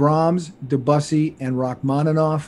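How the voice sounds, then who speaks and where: This is a man's voice. The tone is dark and mellow. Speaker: podcast host. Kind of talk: reading a guest introduction. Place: home room. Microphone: studio mic.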